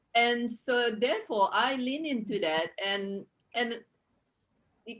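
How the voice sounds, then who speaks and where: A woman with a non-native accent speaks very slowly. Her intonation is lively. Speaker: personal development speaker. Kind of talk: panel discussion. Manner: halting, many repetitions.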